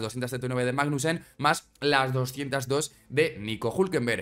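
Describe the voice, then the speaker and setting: Over a quiet background, a man speaks with a fairly high pitch and ordinary pitch variation. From Spain. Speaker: Formula 1 YouTuber. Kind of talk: casual commentary video. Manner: animated.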